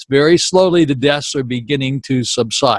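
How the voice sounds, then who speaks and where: In a dry, close sound with no echo, a man with a fairly high pitch and ordinary pitch variation speaks in an American accent. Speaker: daily COVID numbers video blogger. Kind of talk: informal data briefing to camera. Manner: conversational, folksy.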